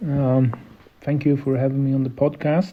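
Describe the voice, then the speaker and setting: Speaking at a moderate pace with a non-native accent, a man has a medium-pitched, somewhat breathy voice. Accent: non-native English speaker. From Sweden. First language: Swedish. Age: 50s. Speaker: entrepreneur and local politician. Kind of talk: podcast interview. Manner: halting, many fillers.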